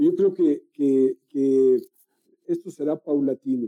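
Fairly even intonation from a man with a Mexican accent. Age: 50s. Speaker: meditation guide. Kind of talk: casual chat. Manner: halting.

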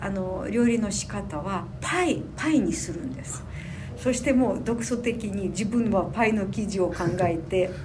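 With audible room echo and noticeable background noise, a woman speaks at a fairly slow pace in a medium pitch with lively intonation. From Ukraine (Sumy region). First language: Ukrainian or Russian (speaking Japanese). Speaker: tour guide trainee, Ukrainian resident. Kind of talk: interview. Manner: halting.

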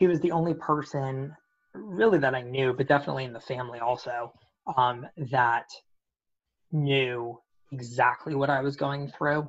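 A man with a medium-pitched voice talks at a moderate pace, leaving long, frequent pauses. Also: ordinary pitch variation. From US, Washington D.C. area. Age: 20s. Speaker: cancer survivor and event planner. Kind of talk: interview.

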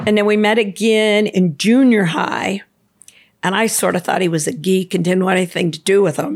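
With an ordinary speaking voice at a medium pitch, a woman talks at a fairly slow pace with fairly even intonation. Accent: American. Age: 60s. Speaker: swim instructor. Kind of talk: casual chat.

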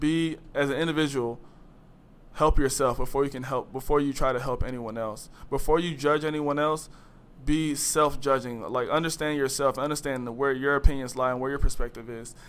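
This man has a plain, everyday voice, pitched fairly high. He talks at a fairly quick pace with fairly even intonation. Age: 20s. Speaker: college student. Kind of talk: casual interview.

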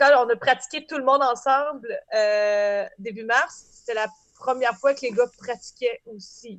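Speaking very slowly in a high voice, a woman uses ordinary pitch variation while her loudness swings widely. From Beauce, Quebec. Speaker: band singer and accordionist. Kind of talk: casual chat.

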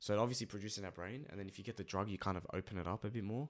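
A man with an Australian accent, fairly low in pitch, very fast in pace, with ordinary pitch variation on a very clean recording against a silent background. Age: 20s. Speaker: youtuber, podcast host. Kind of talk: casual chat.

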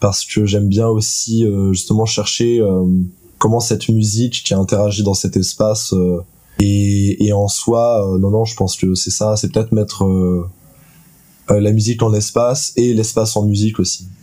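A man speaks in a fairly low, monotone voice with flat intonation at a moderate pace. His loudness stays very even, and there is noticeable background noise. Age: 20s. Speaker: student and sound performer. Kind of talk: interview. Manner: hesitant, many fillers.

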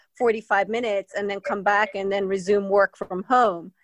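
A woman with a Spanish accent speaks at a fairly slow pace, the sound dry and close with no echo over a quiet background. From Spain. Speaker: mountain bike advocate. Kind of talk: casual interview. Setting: remote call.

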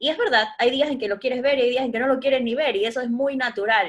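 The voice is a woman's, high in pitch. The recording is very clean, with a silent background. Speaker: podcast host, educator and life coach. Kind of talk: casual chat.

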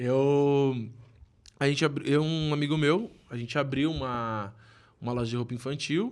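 Pausing long and often, a man talks at a moderate pace with a fairly high pitch and ordinary pitch variation. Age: 20s. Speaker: small business owner. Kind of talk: casual chat.

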